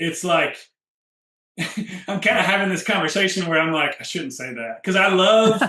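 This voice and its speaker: A man speaks in a raised, projected voice, high for a man, at a moderate pace with ordinary pitch variation. Long, frequent pauses break up his speech, and audible room echo surrounds it. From rural area, country upbringing. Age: 30s. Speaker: health coach. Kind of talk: interview.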